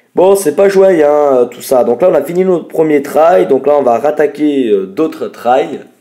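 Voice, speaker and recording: A man speaks fairly slowly with hardly any pauses, his pitch fairly high. His tone is dark and mellow, and his intonation lively. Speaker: gaming youtuber. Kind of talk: gameplay commentary.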